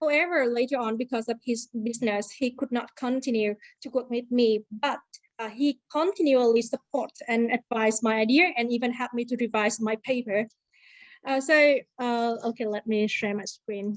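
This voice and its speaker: A woman with a Vietnamese accent speaks at a moderate pace in a high voice with ordinary pitch variation. The sound is dry and close, with no echo. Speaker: university lecturer. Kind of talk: conference presentation. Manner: halting.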